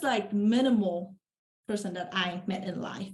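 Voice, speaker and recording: A woman speaks with a Vietnamese accent at a fairly slow pace. Her voice is somewhat breathy. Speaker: real estate investor. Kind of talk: podcast interview.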